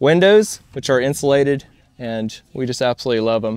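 An unremarkable speaking voice moves at a moderate pace against a quiet background, the sound dry with no echo. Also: man. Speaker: trade show vendor. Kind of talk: product walkaround sales pitch. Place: open country.

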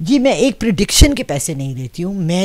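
A woman speaks at a moderate pace, and the background is quiet. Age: 60s. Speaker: astro palmist; interviewee. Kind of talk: interview. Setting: seated in front of camera. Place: home room. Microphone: handheld.

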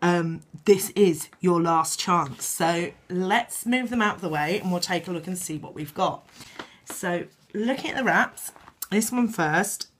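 A woman's fairly low-pitched voice with ordinary pitch variation, noticeable background noise behind it. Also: fairly slow pace. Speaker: beauty product reviewer. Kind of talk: product haul video.

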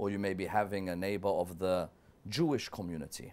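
This is a man speaking. His pitch is fairly low. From London, England. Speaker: guest scholar. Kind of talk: TV interview. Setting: TV studio. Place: studio.

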